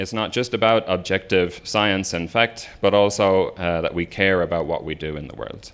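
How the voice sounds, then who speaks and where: A man with an Irish accent speaks at a moderate pace with very deep, low pitch. His pitch varies in an ordinary way, and he hardly pauses. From Ireland. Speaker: researcher and professor. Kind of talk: lecture. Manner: hesitant, many fillers.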